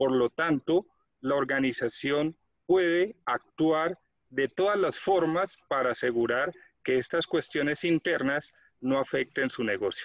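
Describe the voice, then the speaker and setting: A man's fairly high-pitched, ordinary speaking voice at a fairly slow pace, with ordinary pitch variation and a dry, close sound with no echo. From Colombia. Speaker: quality management consultant. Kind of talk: tutorial.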